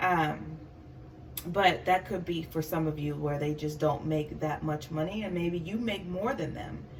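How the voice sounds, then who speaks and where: With audible room echo, a woman speaks at a fairly slow pace in a very deep, low pitch with ordinary pitch variation. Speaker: tarot reader. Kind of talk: tarot reading monologue. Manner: halting, stuttering; many filler words.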